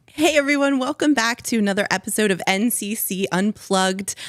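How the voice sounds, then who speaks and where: In a very clean recording with a silent background and a dry, close sound with no echo, a woman speaks at a moderate pace. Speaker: children's ministry director and podcast host. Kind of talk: casual chat.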